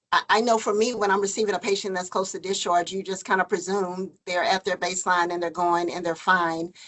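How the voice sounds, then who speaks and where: A woman's medium-pitched voice holds fairly even intonation. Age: 50s. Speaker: physician. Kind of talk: Q&A after a lecture. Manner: halting, many fillers.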